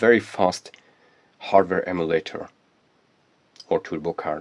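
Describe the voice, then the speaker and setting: A man with a non-native accent, the sound dry and close with no echo. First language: not English. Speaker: electronics hobbyist YouTuber. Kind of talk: tutorial. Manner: halting, with frequent fillers.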